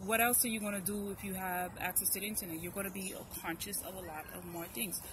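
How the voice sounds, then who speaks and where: A woman at medium pitch and a very fast pace, with fairly even intonation and audible room echo. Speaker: YouTube commentator. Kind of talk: casual chat.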